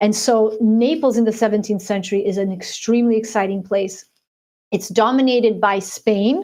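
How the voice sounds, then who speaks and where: Speaking in an American accent, a woman has a fairly high pitch and a dark, mellow tone. Her intonation is fairly even and her pace moderate. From United States, Azorean immigrant family. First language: Portuguese. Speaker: author. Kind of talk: interview.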